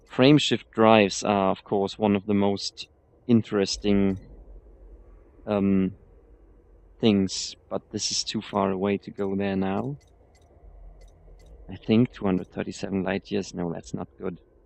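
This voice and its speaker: A man with a non-native accent speaks at a fairly slow pace, his pitch fairly low. His intonation stays fairly even, broken by long, frequent pauses. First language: not English. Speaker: video game streamer. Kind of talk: gameplay commentary. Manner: halting.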